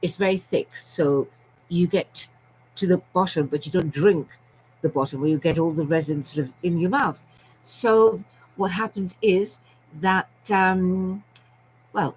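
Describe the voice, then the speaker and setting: A somewhat breathy woman with a British accent, fairly low pitch and ordinary pitch variation, at a fairly slow pace with long, frequent pauses. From Scotland and London. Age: 70s. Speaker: storyteller vlogger. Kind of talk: personal storytelling monologue. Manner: chatty, rambling with many fillers.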